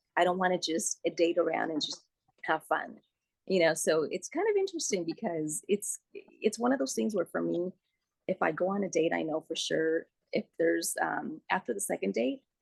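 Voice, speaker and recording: Speaking at a moderate pace, a woman talks with a Spanish accent. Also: dry, close sound with no echo. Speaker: radio producer and host. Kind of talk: interview. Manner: casual, many fillers.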